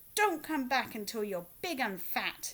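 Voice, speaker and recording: In a put-on character voice, a woman growls with a raised, projected voice. Her pitch is high and swings very widely. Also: moderate pace. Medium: read story.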